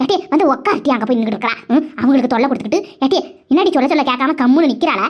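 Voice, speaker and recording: A woman does a cartoonish character voice, high-pitched with lively intonation, at a very fast pace. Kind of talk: comic village dialect. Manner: bossy, chatty.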